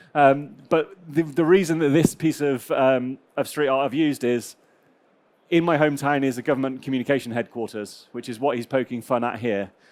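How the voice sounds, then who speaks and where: A man's medium-pitched voice in a West Country accent, at a fairly quick pace with ordinary pitch variation. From southwest England, Gloucestershire. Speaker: cybersecurity manager. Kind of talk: conference talk. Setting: stage with audience. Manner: fast; hesitant, many fillers.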